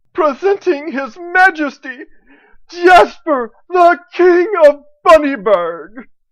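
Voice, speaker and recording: The put-on character voice is high-pitched and delivered at a very slow pace. The recording is very clean, with a silent background. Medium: audio drama. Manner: excitable, deferential.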